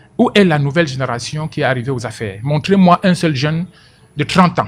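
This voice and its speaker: Noticeable background noise sits behind a man's voice. His pitch is fairly high and his intonation lively. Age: 60s. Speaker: political commentator. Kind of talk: radio interview. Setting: radio studio. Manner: animated; repeats words when speaking.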